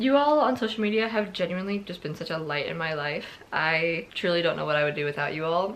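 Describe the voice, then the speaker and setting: This woman has a normal speaking voice, fairly low in pitch, and talks at a fairly quick pace. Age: 20s. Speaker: book vlogger. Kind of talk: casual talk to camera.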